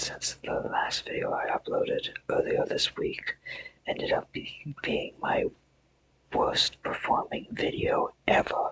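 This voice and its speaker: Whispering at a very slow pace. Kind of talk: ASMR trigger sounds, casual talk to camera. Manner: whispered, soft-spoken.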